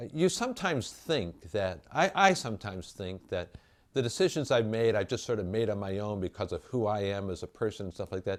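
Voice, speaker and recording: On a very clean recording with a silent background, a man uses a plain, everyday voice at a fairly low pitch. He keeps a moderate pace with lively intonation. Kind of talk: interview.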